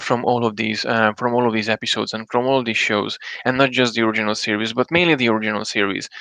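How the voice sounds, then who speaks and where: Noticeable background noise sits behind a man talking at a very fast pace. His pitch is medium and his intonation fairly even. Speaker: solo live streamer and podcaster. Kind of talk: casual live stream talk. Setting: live stream. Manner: halting, many fillers and restarts.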